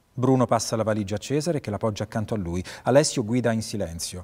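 Over a quiet background, a man talks at a very fast pace with a dark, mellow tone and ordinary pitch variation. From Italy. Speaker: actor and voice actor (dubbing). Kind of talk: short-film script reading, narrating scene directions and playing all characters. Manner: neutral narration of scene directions. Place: stage.

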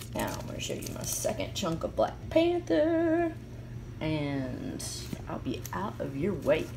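A woman speaks at a very slow pace. Noticeable background noise runs underneath. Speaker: comic collector. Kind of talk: casual vlog chat. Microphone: phone near.

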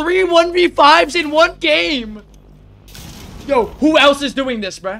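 A man's raised, projected voice at an extremely high pitch for a man, with very wide pitch swings, a very slow pace and long, frequent pauses. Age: 20s. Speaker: gaming streamer. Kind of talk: live gameplay commentary. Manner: animated.

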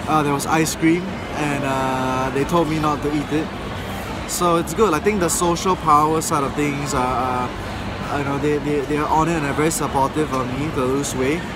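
A man at a moderate pace in a dry sound with no echo, with music in the background. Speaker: vlogger. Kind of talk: casual vlog chat. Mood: a bit down. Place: market. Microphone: phone near.

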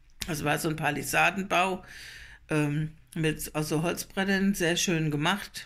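A woman's very deep, low voice, very slow and fairly even, in a quiet background. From Germany, Lohrheim area (Rhein-Lahn, Nassau); Germany. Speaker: vlogger; dialect vlogger. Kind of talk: casual travel vlog. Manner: hesitant with fillers. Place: home room. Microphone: phone near.

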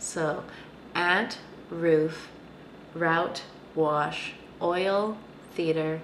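A woman speaks at fairly low pitch with fairly even intonation. Audible room echo and light background noise fill the recording. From Canada; Vancouver. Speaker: vlogger. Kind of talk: casual talk to camera. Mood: relaxed, amused. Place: home room. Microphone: webcam.

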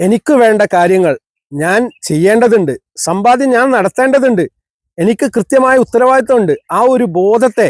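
A man's extremely high-pitched voice with lively intonation and very even loudness, in a dry, close sound with no echo. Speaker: counselling psychologist. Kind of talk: motivational talk.

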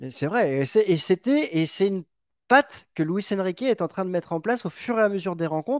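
A man with a high pitch speaks at a moderate pace, his intonation lively. The sound is dry with no echo, and the background is quiet. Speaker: football podcast host. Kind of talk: casual sports chat. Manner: hesitant, stuttering repetitions. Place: home room. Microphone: headset.

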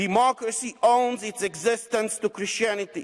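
The man's pitch is extremely high, with fairly even intonation. The background is quiet. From Romania. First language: Romanian. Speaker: member of parliament. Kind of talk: parliament speech. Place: hall. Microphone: podium.

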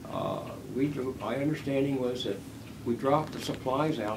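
There is noticeable background noise as a man with a Philadelphia accent talks at a moderate pace. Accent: Philadelphia American. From US Northeast, West Philadelphia; Pennsylvania. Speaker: war veteran. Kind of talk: oral history interview. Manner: halting. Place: home room.

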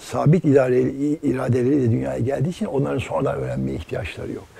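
Very fast speech, the sound dry with no echo. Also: man. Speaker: interviewee. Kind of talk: interview answer. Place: home room. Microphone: lapel.

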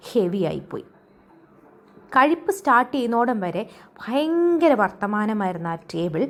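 A woman speaks at a fairly high pitch, swinging very widely in pitch. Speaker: travel and lifestyle vlogger. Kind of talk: vlog voiceover narration.

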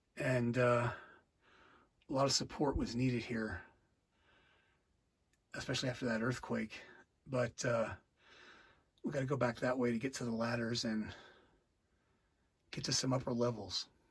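Against a quiet background, a man speaks at a moderate pace in a somewhat breathy voice, with monotone, flat intonation and long, frequent pauses. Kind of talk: casual exploration commentary. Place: tunnel cave. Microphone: phone near.

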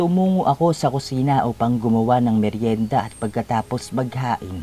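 Dark, mellow male tone, its pitch varying in an ordinary way. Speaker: horror story narrator. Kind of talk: scripted horror story narration in first person, with quoted dialogue. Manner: dramatic, suspenseful, voicing characters' lines.

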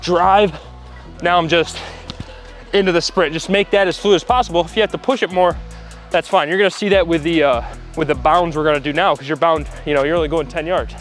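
Very fast and high-pitched, a man speaks with fairly even intonation. The sound is dry with no echo, and faint music plays in the background. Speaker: trainer coaching an athlete. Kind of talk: coaching instruction. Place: hall.

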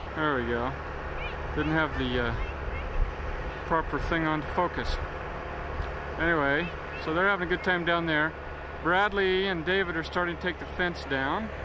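Speech comes at a moderate pace with long, frequent pauses. The sound is dry with no echo, though noticeable background noise runs underneath. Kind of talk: casual home video narration. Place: open country. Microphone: old recording.

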